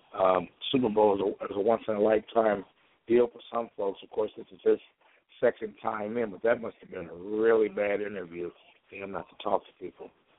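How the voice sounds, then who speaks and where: A man with an American accent speaks fairly quickly in a fairly low, monotone voice with flat intonation. His loudness swings widely. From Chicago, US Midwest. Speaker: internet radio host. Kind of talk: call-in talk show, casual sports chat. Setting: phone call-in show. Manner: halting with repeated fillers.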